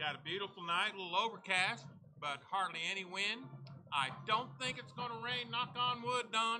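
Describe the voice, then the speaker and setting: Over music in the background, a man speaks at a moderate pace in a raised, projected voice, high in pitch, with lively intonation. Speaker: radio sports announcer. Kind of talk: live sports broadcast chat.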